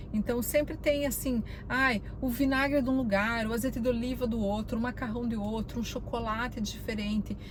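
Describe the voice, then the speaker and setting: Speaking in a Brazilian accent, a woman with a fairly high pitch and fairly even intonation talks with hardly any pauses, amid noticeable background noise and audible room echo. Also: moderate pace. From Brazil, Curitiba, Paraná. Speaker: vlogger. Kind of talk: casual vlog talk. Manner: conversational, many fillers.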